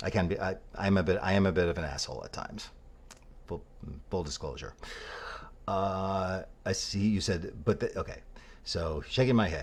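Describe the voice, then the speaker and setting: Speaking quietly at a moderate pace, a man leaves long, frequent pauses. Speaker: political commentator. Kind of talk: response video rant. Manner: quiet, kept voice down; coy-sounding.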